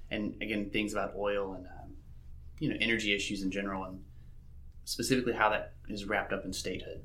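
A man's bright, sharp, fairly low-pitched voice at a very fast pace, with fairly even intonation and audible room echo. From Mississippi. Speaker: PhD researcher in geography. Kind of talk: interview.

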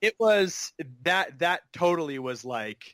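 The man's pitch is fairly high. It swings very widely. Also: dry, close sound with no echo. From Northern California, East Bay. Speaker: commercial actor and comedian. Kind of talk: casual chat. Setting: video call.

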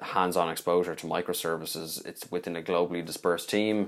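With a Dublin accent, a man talks at a fairly quick pace in a very deep, low pitch and fairly even intonation. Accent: Dublin Irish. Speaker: recruiter, podcast co-host. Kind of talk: casual chat.

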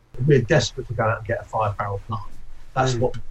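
Somewhat breathy, a man speaks at a very fast pace with fairly even intonation. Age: 50s. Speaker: brewery owner. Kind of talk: interview.

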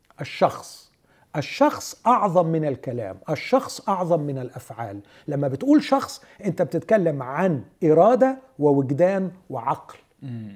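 A man speaks at a fairly slow pace and fairly high pitch. His pitch swings very widely. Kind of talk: religious discussion.

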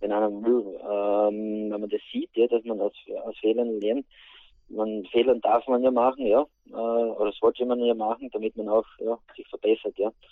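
At a fairly slow pace, a man speaks in a monotone, flat intonation at a medium pitch. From Austria, Styria (St. Peter, Schwanberg area). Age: 40s. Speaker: interview guest, project manager and former footballer. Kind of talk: interview. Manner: halting.

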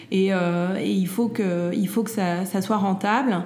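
The speech moves at a very slow pace with fairly even intonation. Audible room echo is present. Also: woman. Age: 40s. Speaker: entrepreneur and mother. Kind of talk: interview. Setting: at her home. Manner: halting, many fillers and repeats.

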